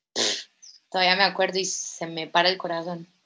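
The speech moves at a fairly slow pace with monotone, flat intonation. Music plays in the background. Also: woman. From Colombia, Villavicencio (Meta). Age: 20s. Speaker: former Olympic gymnast and coach. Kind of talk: testimony.

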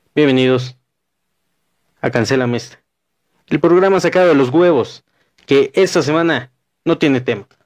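A man speaks at a fairly high pitch with ordinary pitch variation. His delivery has long, frequent pauses. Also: moderate pace. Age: 20s. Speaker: podcast host. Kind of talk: casual chat.

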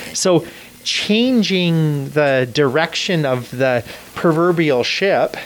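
Lively intonation stands out. Noticeable background noise sits underneath. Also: man. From Canada. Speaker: Salvation Army officer. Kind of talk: interview. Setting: studio.

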